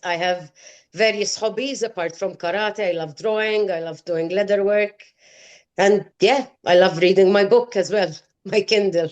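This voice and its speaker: A woman with an ordinary speaking voice talks at a medium pitch and a moderate pace, with fairly even intonation, against a quiet background. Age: 50s. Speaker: clinical research professional. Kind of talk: interview answer. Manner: casual, chatty.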